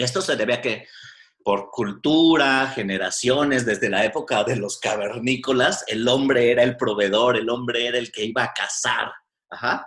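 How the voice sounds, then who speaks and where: He has a normal speaking voice, medium in pitch. This man's pitch varies in an ordinary way as he keeps a moderate pace. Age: 40s. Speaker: psychotherapist. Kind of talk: casual chat.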